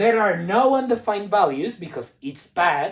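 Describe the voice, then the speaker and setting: A woman speaks at a fairly slow pace in a non-native accent. Her pitch is medium. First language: not English. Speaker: math teacher. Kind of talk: lecture. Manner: hesitant, many fillers.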